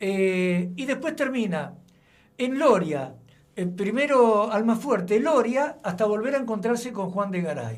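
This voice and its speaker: A high-pitched man with lively intonation, at a fairly slow pace, amid audible room echo. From Argentina, Buenos Aires. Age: 70s. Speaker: local historian. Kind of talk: radio interview.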